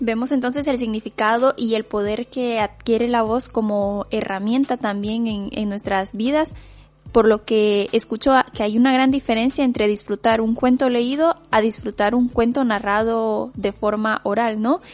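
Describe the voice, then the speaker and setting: In a quiet background, a woman with an ordinary speaking voice at a fairly high pitch talks at a fairly slow pace with fairly even intonation. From Nicaragua. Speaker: radio host. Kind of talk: radio interview.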